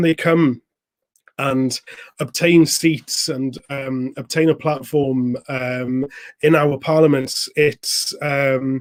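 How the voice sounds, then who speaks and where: A man speaks with a Welsh accent at a fairly high pitch. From Wales. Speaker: youth political organizer, live stream host. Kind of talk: political interview. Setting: live stream.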